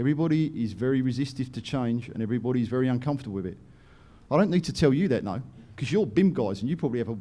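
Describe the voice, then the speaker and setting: A man with an English accent, medium pitch, a dark, mellow tone, lively intonation and a very fast pace. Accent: English accent noted as funny. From England, London. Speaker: company director and presenter. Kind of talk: conference presentation. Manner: animated.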